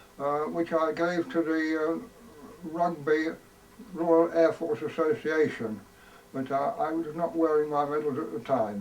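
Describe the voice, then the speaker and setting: A man with an East Midlands accent speaks at a fairly slow pace. His pitch is fairly high and his intonation lively. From Leicestershire, England. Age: 80s+. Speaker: war veteran. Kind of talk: recorded introduction. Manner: halting.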